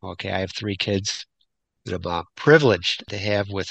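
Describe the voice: A man's fairly low voice, bright and sharp in tone, with vocal fry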